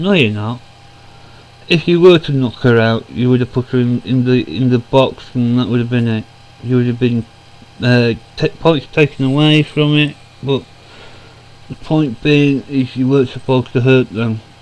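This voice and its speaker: A man's medium-pitched voice with ordinary pitch variation, a moderate pace and long, frequent pauses, over noticeable background noise. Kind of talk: casual talk to camera. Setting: home recording, computer fan noise.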